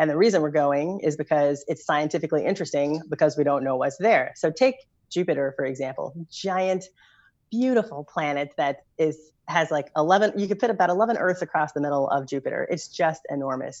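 Over a quiet background, a woman with an American accent speaks at a fairly quick pace in an enthusiastic tone. Her pitch is very deep and low, and her intonation is lively. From Kentucky, US South. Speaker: spacecraft engineer. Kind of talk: interview.

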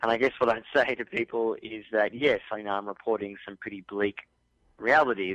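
A man with an Australian accent, fairly low-pitched, at a moderate pace. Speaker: journalist and author. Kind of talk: radio interview.

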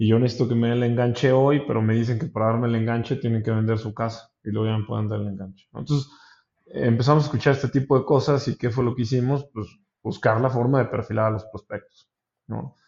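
A man with a normal speaking voice talks at a fairly quick pace, medium in pitch and fairly even in intonation. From Mexico, San Luis Potosí. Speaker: startup co-founder. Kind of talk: interview.

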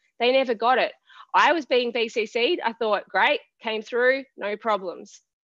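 At a fairly slow pace, a woman with an Australian accent speaks in a high voice with ordinary pitch variation. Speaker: web designer. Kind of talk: casual chat. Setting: video call.

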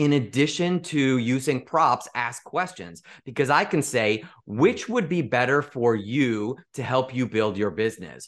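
A man with an American accent has a normal speaking voice and a medium pitch. He talks at a moderate pace against a quiet background. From US Midwest, Chicago area. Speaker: sales mentor and speaker. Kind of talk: podcast interview.

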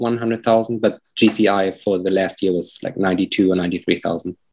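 A man talks with a German accent over a quiet background. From Germany. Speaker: real estate agent. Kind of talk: coaching call. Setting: call.

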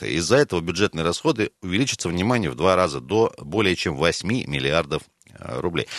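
A man speaks at a fairly quick pace with lively intonation and vocal fry, in a dry, close sound with no echo. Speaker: radio host. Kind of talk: casual chat. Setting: studio.

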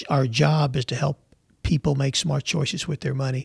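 A man talks at a moderate pace with vocal fry. His pitch is fairly high and his intonation fairly even. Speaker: financial advisor. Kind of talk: interview.

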